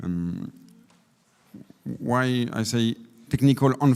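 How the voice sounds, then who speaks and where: A man speaks with a French accent. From France. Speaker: energy efficiency company representative. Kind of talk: panel presentation. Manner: halting.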